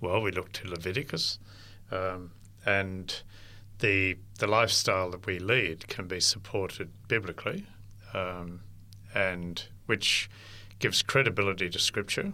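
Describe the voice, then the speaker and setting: Slow-paced and marked by long, frequent pauses, a man with an Australian accent speaks at a very deep, low pitch in a bright, sharp tone with fairly even intonation. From inland New South Wales, Australia. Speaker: interfaith ministry worker. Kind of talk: interview. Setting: studio.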